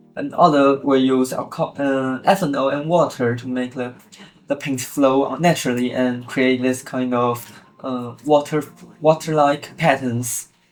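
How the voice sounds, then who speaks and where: The delivery is fairly slow, with fairly even intonation. Noticeable background noise runs underneath. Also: man, medium pitch for a man. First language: not English. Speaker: origami tutorial creator. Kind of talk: tutorial. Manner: halting.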